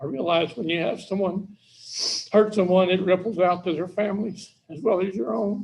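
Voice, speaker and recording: Ordinary pitch variation marks a man's voice set at a high pitch. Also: moderate pace. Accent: American. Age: 70s. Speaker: parole applicant. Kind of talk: parole hearing statement read from notes.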